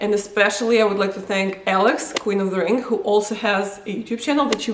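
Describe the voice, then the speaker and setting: Amid audible room echo and noticeable background noise, a woman talks at a very fast pace. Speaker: wrestling vlogger. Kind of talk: casual vlog countdown. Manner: animated.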